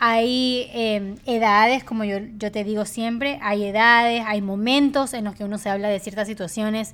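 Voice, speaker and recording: Here a woman speaks with a fairly high pitch. Her pace is fairly slow. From Ecuador. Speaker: podcast host. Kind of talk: casual chat.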